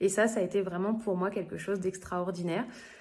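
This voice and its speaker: Her pitch is medium and her intonation monotone and flat. The woman keeps a moderate pace. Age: 30s. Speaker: direct sales consultant. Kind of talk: interview testimony. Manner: hesitant, many fillers.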